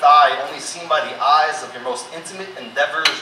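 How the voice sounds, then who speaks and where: Fairly quick speech from a man, with noticeable noise behind it. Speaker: spoken word poet. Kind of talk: spoken word performance. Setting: live concert venue.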